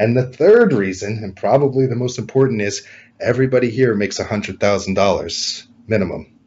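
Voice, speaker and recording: Somewhat breathy male voice with an American accent, at a moderate pace. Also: medium pitch for a man, ordinary pitch variation. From California. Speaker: realtor. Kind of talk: interview.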